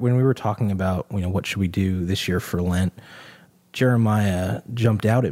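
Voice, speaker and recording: In an ordinary speaking voice, a man talks at a fairly low pitch with ordinary pitch variation on a very clean recording with a silent background. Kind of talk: casual Bible study discussion.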